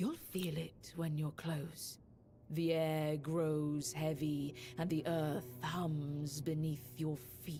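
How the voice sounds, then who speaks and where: With clear music in the background, someone does a put-on character voice at a middle pitch and a very slow pace. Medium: video game. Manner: solemn, measured.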